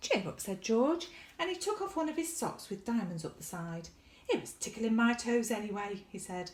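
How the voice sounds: A natural reading voice is heard throughout.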